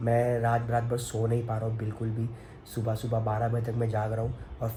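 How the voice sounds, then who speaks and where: Audible room echo surrounds a man talking at medium pitch and a moderate pace. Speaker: family vlogger. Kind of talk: personal vlog monologue. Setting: at home.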